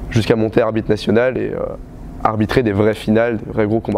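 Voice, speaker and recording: Over noticeable background noise, a man at a medium pitch talks at a very fast pace. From western France, Vienne. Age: 20s. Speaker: taekwondo coach. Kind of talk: interview testimony. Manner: halting, many hesitations.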